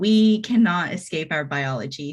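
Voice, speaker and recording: A woman speaks with a Texan accent at a medium pitch against a quiet background. Her voice is somewhat breathy. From Texas. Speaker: agile coach and speaker. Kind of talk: presentation to a user group. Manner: hesitant, with fillers.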